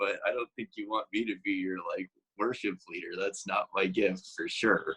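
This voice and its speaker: The sound is dry and close, free of any echo. A man speaks at a moderate pace. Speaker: church staff, preacher. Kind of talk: casual interview answer.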